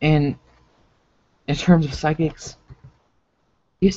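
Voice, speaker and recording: Here a man talks in a fairly high-pitched voice. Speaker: gaming video host. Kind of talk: solo commentary on a livestream. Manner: halting, with self-described stuttering; casual, full of filler words.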